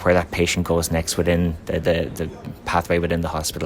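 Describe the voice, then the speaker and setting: A man speaks in an Irish accent with a very deep, low pitch. Noticeable background noise is present. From Ireland. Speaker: company representative at trade conference. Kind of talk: conference interview. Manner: halting, many fillers.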